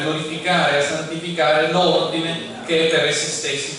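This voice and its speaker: Noticeable background noise and strong room echo surround a man speaking at a high pitch. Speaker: speaker. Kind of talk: lecture. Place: hall.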